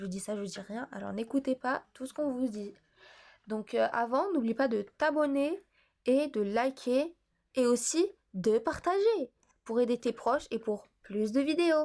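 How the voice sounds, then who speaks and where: A woman talks at a very slow pace in a high pitch. Her tone is dark and mellow, her intonation lively. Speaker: math tutor on video channel. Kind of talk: tutorial. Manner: hesitant, many fillers.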